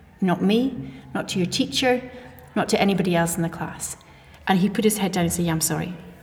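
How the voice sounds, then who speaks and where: At a very fast pace, a woman with a medium pitch and ordinary pitch variation speaks amid noticeable background noise. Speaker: teaching assistant. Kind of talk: casual chat.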